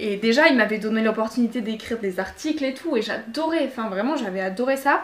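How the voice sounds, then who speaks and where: Over noticeable background noise, a woman speaks in a fairly high voice with ordinary pitch variation and hardly any pauses. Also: fairly quick pace. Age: 20s. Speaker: student and podcast creator. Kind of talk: interview.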